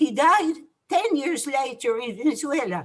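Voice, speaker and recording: Here a woman speaks at a fairly slow pace. Her pitch swings very widely. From France. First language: French. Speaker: Holocaust survivor. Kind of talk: testimony. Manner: halting.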